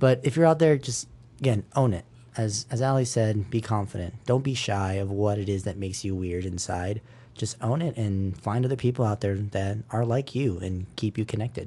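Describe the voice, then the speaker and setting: A man speaks at a moderate pace with a fairly low pitch and ordinary pitch variation. His tone is dark and mellow, and somewhat breathy. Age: 20s. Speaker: school guide and podcast host. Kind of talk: casual podcast chat.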